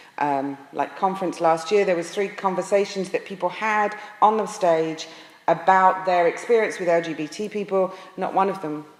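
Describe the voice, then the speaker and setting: A woman with an American accent speaks at a moderate pace with fairly even intonation over noticeable background noise. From England. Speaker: pastor. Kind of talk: presentation to an audience. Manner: frequent hesitations.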